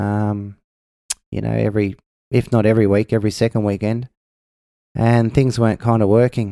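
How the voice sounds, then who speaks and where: With an Australian accent, a man speaks at a fairly low pitch with a dark, mellow tone and a monotone, flat intonation. The very clean recording has a silent background and a dry, close sound with no echo. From Australia, Melbourne. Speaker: singer-songwriter. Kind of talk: casual chat.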